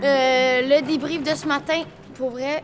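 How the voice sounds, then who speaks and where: A woman's high-pitched voice amid noticeable background noise. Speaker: streamer and YouTuber. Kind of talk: vlog and casual chat. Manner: animated.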